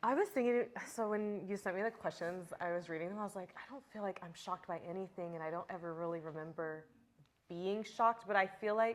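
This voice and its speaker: A woman's normal speaking voice in an American accent, medium in pitch, fairly quick, with ordinary pitch variation. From small town in Texas. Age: 30s. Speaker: dancer. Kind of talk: casual interview chat.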